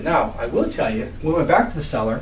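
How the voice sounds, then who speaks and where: A man talks at a very fast pace. Noticeable background noise and audible room echo fill the recording. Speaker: real estate investor and trainer. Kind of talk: deal walkthrough presentation.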